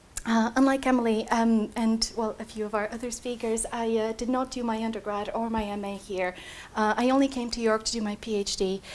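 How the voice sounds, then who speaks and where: Speaking at a fairly quick pace in a Bulgarian accent, a woman holds a fairly high pitch with monotone, flat intonation. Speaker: PhD student. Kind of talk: talk to prospective students. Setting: room with live audience. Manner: hesitant, many fillers.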